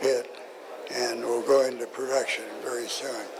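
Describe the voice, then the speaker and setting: A man talks with an American accent. Noticeable background noise and audible room echo surround his voice. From US Southwest, Arizona. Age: 90s. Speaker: mining geologist, explorer. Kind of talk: talk at a seminar. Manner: halting, many fillers and restarts.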